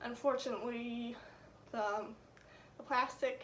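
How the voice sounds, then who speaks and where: Fairly slow, high-pitched female speech over noticeable background noise. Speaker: student. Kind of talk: class speech presentation. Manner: casual, conversational.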